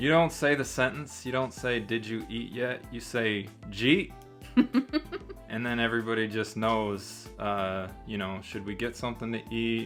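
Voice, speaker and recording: Music plays in the background as a man with a Michigan accent speaks at a fairly slow pace. His voice sits at medium pitch with ordinary pitch variation. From southeastern Michigan. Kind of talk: casual talk to camera.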